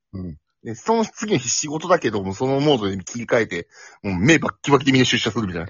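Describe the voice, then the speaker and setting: A man's medium-pitched voice at a very fast pace, with very wide pitch swings. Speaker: office worker, podcast guest. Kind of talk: casual chat.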